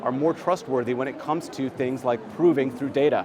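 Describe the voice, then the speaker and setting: A man with a New York accent speaks at a fairly high pitch for a man, with ordinary pitch variation and music playing in the background. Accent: New York American. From New York, USA. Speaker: HR technology strategy executive. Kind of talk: interview answer. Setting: trade show floor.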